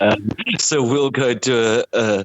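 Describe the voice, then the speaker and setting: This is a man speaking. He talks with a South African accent. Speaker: brewer. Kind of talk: casual chat. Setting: phone call. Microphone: poor sound quality.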